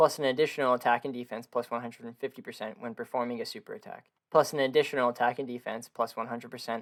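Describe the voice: A man speaks fast at a medium pitch, his intonation fairly even.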